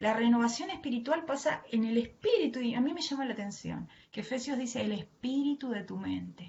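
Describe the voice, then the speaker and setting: Speaking with a strong Argentine accent, a woman talks at a moderate pace in a fairly high pitch with lively intonation. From Argentina. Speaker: preacher and mental health worker. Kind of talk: sermon. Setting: online live stream from home.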